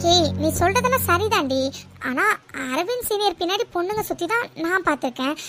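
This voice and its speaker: Over clear background music, a woman uses a cartoonish character voice at an extremely high pitch. Her intonation is lively and her pace moderate. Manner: teasing.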